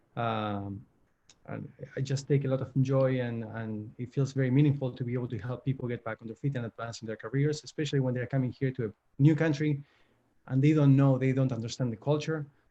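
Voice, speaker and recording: A man with an Argentine accent talks at a very fast pace in a dark, mellow tone. His voice is somewhat breathy, with fairly even intonation. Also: medium pitch for a man. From Argentina, Buenos Aires. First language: Spanish. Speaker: career coach. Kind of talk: virtual panel webinar. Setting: video call.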